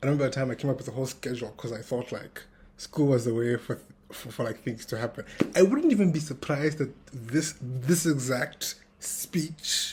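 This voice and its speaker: Somewhat breathy male speech at a medium pitch, moderate pace and ordinary pitch variation. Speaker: tech founder vlogger. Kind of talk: casual vlog monologue. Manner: uneven loudness, practicing projecting; hesitant, many fillers.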